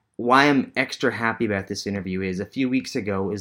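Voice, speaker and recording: This man's voice sits fairly low, with a bright, sharp tone and fairly even intonation. He talks at a fairly quick pace on a very clean recording with a silent background. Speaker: podcast host. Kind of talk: interview.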